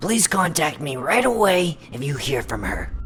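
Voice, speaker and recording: In a cartoonish character voice, a raspy man speaks at a fairly high pitch with very wide pitch swings. Clear background noise can be heard. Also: moderate pace. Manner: curt, impatient.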